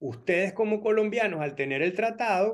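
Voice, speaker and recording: Speaking with a Venezuelan accent, a man talks at a fairly slow pace in a high pitch with ordinary pitch variation. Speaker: immigration lawyer. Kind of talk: informational talk.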